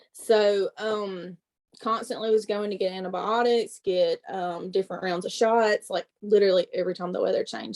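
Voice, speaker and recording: A woman speaks at a medium pitch in a strong Southern accent, her fairly even intonation captured in a dry, close sound with no echo. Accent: thick Southern. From US South, Mississippi. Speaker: network marketing presenter. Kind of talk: testimony.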